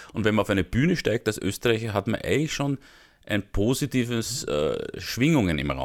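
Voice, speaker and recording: A man with a Viennese accent speaks at a moderate pace and medium pitch, with vocal fry and very wide pitch swings. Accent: Viennese Austrian German. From Austria, Vienna. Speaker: comedian. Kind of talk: interview.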